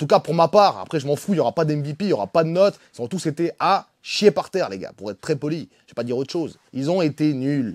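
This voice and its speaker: An animated man talks at a fairly quick pace with hardly any pauses and big swings in loudness. The sound is dry and close with no echo, on a very clean recording with a silent background. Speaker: football fan channel host. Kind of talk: match debrief rant.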